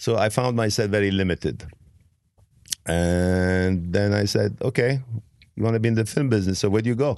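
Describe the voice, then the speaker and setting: Speaking at a fairly quick pace with long, frequent pauses, a man with an Arabic accent uses a fairly low pitch, ordinary pitch variation and very even loudness against a quiet background. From Lebanon, Beirut. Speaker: film producer. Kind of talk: casual interview.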